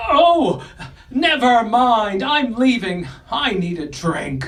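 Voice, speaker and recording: A put-on character voice at a fairly high pitch moves at a very slow pace with audible echo. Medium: audio drama. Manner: stammering, indignant.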